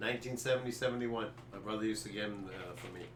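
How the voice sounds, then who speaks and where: A man's somewhat breathy voice at a medium pitch, with audible room echo. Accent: American. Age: 70s. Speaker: sports podcast co-host. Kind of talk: casual chat. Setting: live stream.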